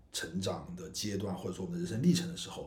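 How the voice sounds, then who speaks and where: A man's somewhat breathy voice with a dark, mellow tone and very wide pitch swings, in audible room echo. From China, Guizhou. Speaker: independent film director and podcast co-host. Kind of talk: casual chat.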